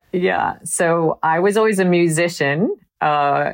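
With an American accent, a woman speaks over a quiet background, the sound dry and close with no echo. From US Midwest (Wisconsin). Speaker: marketing executive. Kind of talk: interview.

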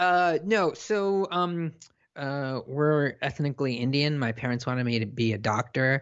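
A plain, everyday voice from a man with a General American accent, fairly high in pitch, lively in intonation, at a fairly slow pace. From South Africa, raised in Southern California from age nine. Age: 30s. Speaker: technology columnist. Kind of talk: interview.

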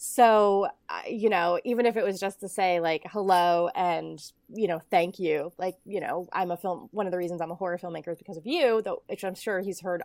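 In a very clean recording with a silent background and a dry, close sound with no echo, a woman with a plain, everyday voice talks fairly quickly at a medium pitch with ordinary pitch variation. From Ohio, US Midwest. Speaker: film director. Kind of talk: interview.

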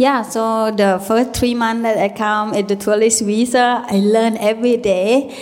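Against noticeable background noise, a woman with a Thai accent speaks in a fairly high pitch with fairly even intonation. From Thailand, rural village. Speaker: DJ and author. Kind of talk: interview. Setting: panel at music event.

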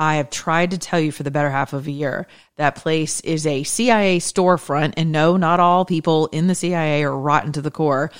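In an American accent, a woman with a very deep, low voice speaks at a moderate pace in a passionate, animated tone, on a very clean recording with a silent background. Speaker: podcast host. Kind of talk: solo monologue, political and faith commentary.

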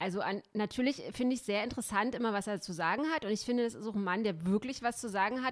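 Pitch variation in this woman's voice is ordinary. She speaks at a very fast pace. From East Germany. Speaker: podcast host and columnist. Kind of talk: casual chat.

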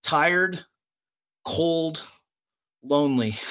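With an American accent, a man speaks at a fairly high pitch in a bright, sharp tone with ordinary pitch variation. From United States. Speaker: special operations veteran. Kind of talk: casual interview.

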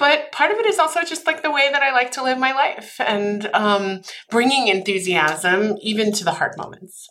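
A woman speaks at a moderate pace in a high, bright, sharp voice, her pitch swinging very widely, with hardly any pauses. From Austria. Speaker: head of people operations. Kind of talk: interview.

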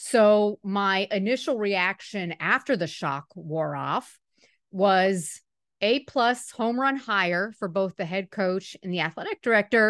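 This woman has a plain, everyday voice at a medium pitch, with ordinary pitch variation and a fairly slow pace. The sound is dry and close with no echo, over a quiet background. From Miami, Florida. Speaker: sports reporter. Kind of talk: casual interview.

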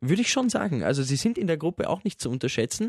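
Lively intonation marks this man's speech, heard in a dry, close sound with no echo. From Austria. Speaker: radio listener service staff, football fan. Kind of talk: casual chat.

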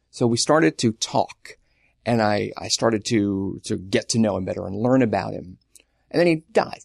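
Dry and close with no echo, a man talks in an ordinary speaking voice at a moderate pace with lively intonation. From Long Island, New York. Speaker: writer. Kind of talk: casual chat.

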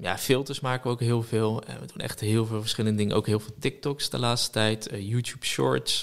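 A man with a plain, everyday voice speaks at a moderate pace. His pitch is fairly low, with ordinary pitch variation. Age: 20s. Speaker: social media entrepreneur. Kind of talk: casual chat.

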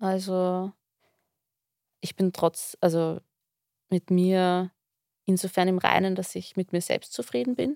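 Speaking at a very slow pace with long, frequent pauses, a woman with an Austrian accent has a medium-pitched, dark, mellow tone, captured in a very clean recording with a silent background and a dry, close sound with no echo. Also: ordinary pitch variation. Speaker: therapy client. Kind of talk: personal conversation.

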